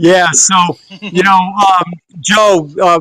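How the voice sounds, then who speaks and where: A man speaks with an American accent in a dry, close sound with no echo. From US, Rhode Island. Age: 60s. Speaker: presidential candidate and business developer. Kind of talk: casual chat.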